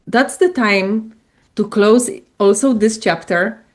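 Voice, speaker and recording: A woman with a Polish accent, fairly slow pace and ordinary pitch variation, over a quiet background. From Poland. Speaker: coach and spiritual entrepreneur. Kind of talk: interview.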